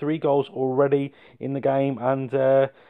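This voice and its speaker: The man speaks at a fairly high pitch with an English accent. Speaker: gaming YouTuber. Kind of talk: game commentary. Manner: fast; animated.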